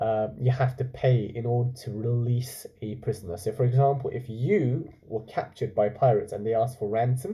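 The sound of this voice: At a moderate pace, a man speaks in a dark, mellow tone. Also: medium pitch for a man, ordinary pitch variation.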